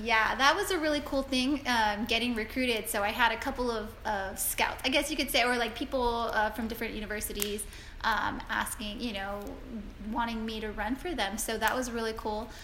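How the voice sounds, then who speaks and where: Speaking with an American accent at a fairly quick pace, a woman uses a fairly high pitch and ordinary pitch variation, with audible room echo around her. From South Texas. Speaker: marathon runner and occupational therapist. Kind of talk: interview.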